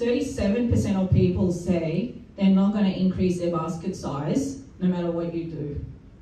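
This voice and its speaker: A woman talks at a moderate pace with a medium pitch. Noticeable background noise and audible room echo fill the recording. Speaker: retail industry presenter. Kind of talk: business presentation.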